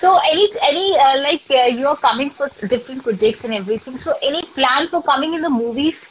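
A woman speaks at a moderate pace with an Indian accent. Her pitch is high and her intonation lively. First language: Hindi. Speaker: live stream host. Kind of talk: casual live interview. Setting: live video call. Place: home room. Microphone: phone near.

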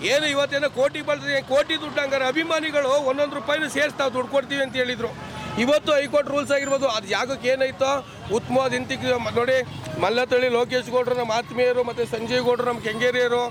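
Crowd noise fills the background as a man talks in an animated tone. His pitch is extremely high. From Karnataka, Mandya. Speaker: fan protester. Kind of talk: media interview at protest.

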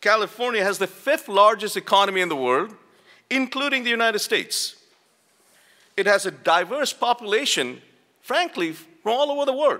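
Against a quiet background, a man uses a raised, projected voice with a bright, sharp tone and high pitch, moving at a fairly quick pace with very wide pitch swings and long, frequent pauses. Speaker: university dean. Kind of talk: conference opening speech. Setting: stage with audience. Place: hall. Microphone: podium.

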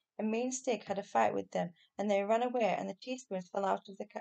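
Someone reads the text in plain reading aloud.

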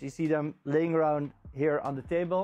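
A man is talking. Faint music plays in the background. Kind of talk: tutorial. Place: shop. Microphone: lapel.

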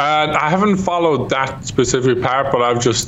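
A man speaks at a moderate pace with an Irish accent and ordinary pitch variation over light background noise. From Ireland. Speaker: YouTube gamer. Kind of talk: casual chat. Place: home room. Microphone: studio mic.

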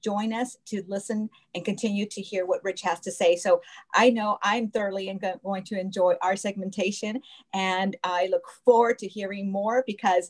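Over a quiet background, a woman speaks at a moderate pace. Her intonation stays fairly even. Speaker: show host. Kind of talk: interview wrap-up. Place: home room. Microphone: video call.

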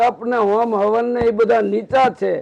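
A man's voice, high-pitched for a man. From Gujarat, Saurashtra (Botad). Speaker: spiritual preacher. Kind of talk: sermon.

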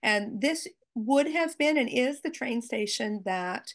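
A woman with an American accent talks at a moderate pace against a quiet background. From US, Maine. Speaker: Holocaust educator, teacher. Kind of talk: slide presentation. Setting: video call. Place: home room. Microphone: video call.

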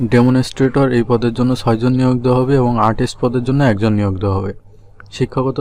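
Monotone and flat, a man with a medium pitch speaks in a dark, mellow tone. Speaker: job news YouTuber. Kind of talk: informational video explainer.

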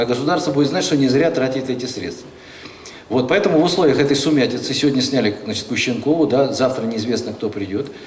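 Over light background noise and audible room echo, a man talks at a very fast pace with ordinary pitch variation. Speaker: legislator. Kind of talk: panel discussion. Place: hall. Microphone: handheld.

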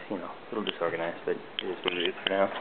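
A man at a very fast pace amid loud background noise. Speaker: entry-level web designer. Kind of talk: casual video tour narration. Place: home room. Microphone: phone near.

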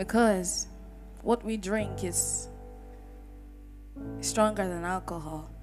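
Over clear music in the background, a woman speaks at a very slow pace. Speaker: spoken word poet. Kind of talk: greeting to a live audience. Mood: warm, devotional. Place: church. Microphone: handheld.

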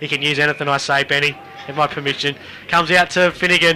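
Raising and projecting his voice over noticeable background noise, a man with an Australian accent keeps his intonation fairly even. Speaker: football commentator. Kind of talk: live sports commentary of an Australian rules football match. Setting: radio broadcast from a football ground.

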